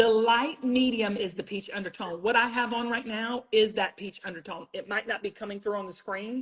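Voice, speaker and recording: Over noticeable background noise, a woman with a Southern US accent talks at a moderate pace with hardly any pauses, using a fairly high pitch, an animated tone and big swings in loudness. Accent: Southern US, sounds country. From South Carolina. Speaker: TV beauty brand founder. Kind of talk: livestream product demo chat.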